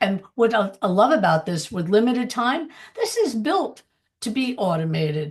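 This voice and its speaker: There is a slight airiness to the voice. The pitch rises and falls across a very broad range. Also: woman, fairly high pitch for a woman, moderate pace. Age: 70s. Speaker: former real estate broker turned online entrepreneur. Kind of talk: panel testimony / sales pitch.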